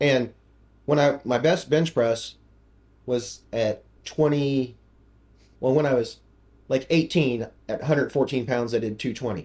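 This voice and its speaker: A man with a medium pitch and a somewhat breathy voice speaks at a fairly slow pace. His intonation is fairly even, with long, frequent pauses. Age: 60s. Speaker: strength coach and former professor. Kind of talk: podcast interview. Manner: casual, halting with fillers.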